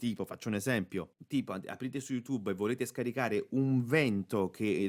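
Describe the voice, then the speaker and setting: A man speaks at a moderate pace with a medium pitch and an upbeat tone. Music plays in the background. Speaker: voice actor. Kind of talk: casual tutorial talk to camera. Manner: upbeat, chatty.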